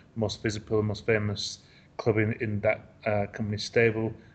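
In an English accent, a man speaks at medium pitch with a somewhat breathy voice. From England. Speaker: football writer. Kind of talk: interview. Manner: halting.

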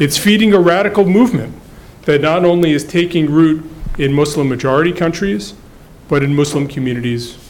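Noticeable background noise runs behind a man with a fairly high pitch. He talks at a fairly quick pace but leaves long, frequent pauses. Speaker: think tank scholar giving opening remarks. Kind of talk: introductory remarks.

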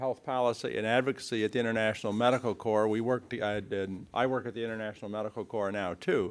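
In a very clean recording with a silent background, a man has a plain, everyday voice at medium pitch with fairly even intonation. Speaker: event moderator. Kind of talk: speaker introduction. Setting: seminar room with audience.

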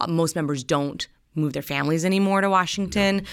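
A woman with fairly even intonation, on a very clean recording against a silent background. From North Dakota. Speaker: political journalist. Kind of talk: interview conversation.

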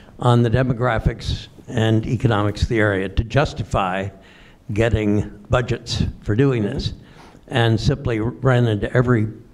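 With fairly even intonation, a man speaks at a medium pitch in an unremarkable speaking voice. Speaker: audience member. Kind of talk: audience question.

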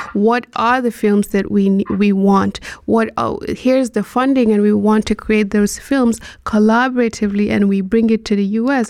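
A woman speaks at a fairly high pitch and moderate pace, her loudness very even and her intonation monotone and flat. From Nigeria, Borno State. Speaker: photojournalist. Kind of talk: panel discussion.

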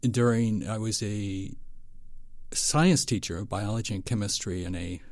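A man speaks with an American accent in a normal speaking voice. His pitch is fairly low, with ordinary variation. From western Pennsylvania, US. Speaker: foundation nutrition director. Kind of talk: interview.

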